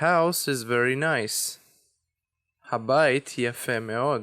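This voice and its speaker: A man's very slow speech in an Israeli accent, medium in pitch with ordinary variation and a bright, sharp tone, on a very clean recording with a silent background. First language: Hebrew. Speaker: language teacher. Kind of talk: tutorial.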